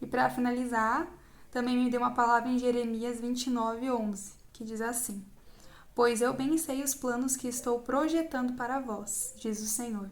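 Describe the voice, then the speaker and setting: A woman's high-pitched voice at a moderate pace with fairly even intonation. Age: 20s. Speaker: psychology student. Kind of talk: Bible verse reading.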